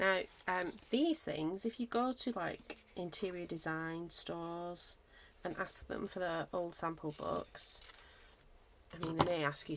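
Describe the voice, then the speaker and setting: A woman with a Lancashire accent at a moderate pace. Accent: northwest English, Lancashire. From northwest England, Lancashire. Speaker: craft YouTuber. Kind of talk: casual craft-along tutorial chat. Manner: casual, thinking aloud with hesitations.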